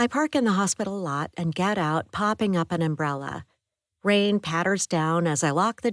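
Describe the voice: Over a quiet background, someone does plain reading aloud with ordinary pitch variation.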